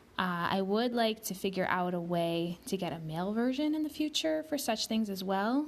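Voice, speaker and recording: Speaking at a moderate pace, a woman uses medium pitch. Her pitch swings very widely. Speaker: podcast host reciting Hebrew prayers. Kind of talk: casual podcast introduction.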